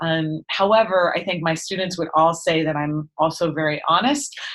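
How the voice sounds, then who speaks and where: A woman amid noticeable background noise. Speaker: music teacher. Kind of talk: interview. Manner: fast talker.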